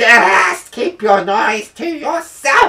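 Fairly high in pitch, the voice is a put-on character voice. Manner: harsh, dismissive.

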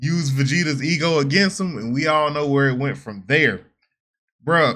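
A man talks in a bright, sharp tone. Behind him the background stays quiet. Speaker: reaction streamer. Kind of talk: casual reaction commentary. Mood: relaxed, amused. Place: home room.

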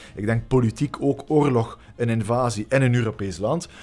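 A man speaks with a Flemish accent, a bit breathy. His pace is moderate. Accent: Flemish Dutch. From Flanders, Belgium. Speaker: politician; guest. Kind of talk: interview. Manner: hesitant, many fillers. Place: studio. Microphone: studio mic.

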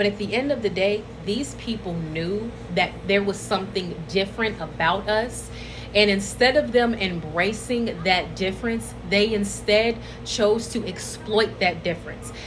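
A woman at a fairly slow pace, ordinary pitch variation, and noticeable background noise. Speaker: social media creator. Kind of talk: casual vlog chat. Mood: earnest, reflective. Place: home room. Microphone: phone near.

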